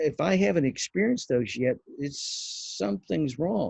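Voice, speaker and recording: A man's medium-pitched, somewhat breathy voice with a dark, mellow tone, lively intonation, and a dry, close sound with no echo. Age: 60s. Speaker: bible teacher. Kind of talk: devotional teaching. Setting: outdoors on back patio. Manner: halting.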